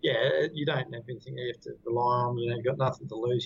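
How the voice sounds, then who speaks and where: Someone talks at a very fast pace in a New Zealand accent. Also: man. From New Zealand, Queenstown. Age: 30s. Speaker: company director. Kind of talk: interview.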